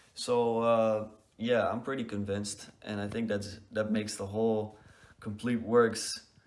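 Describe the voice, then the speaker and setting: A man with a non-native accent talks at a fairly slow pace in a fairly low pitch, his intonation monotone and flat. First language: not English. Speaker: book reviewer. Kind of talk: casual video review. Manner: hesitant, many fillers.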